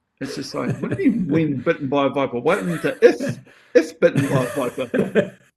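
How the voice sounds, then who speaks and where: Talking at a fairly quick pace with a New Zealand accent, a man has a fairly high pitch, very wide pitch swings and big swings in loudness. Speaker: actor and stunt performer. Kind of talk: casual chat. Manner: animated.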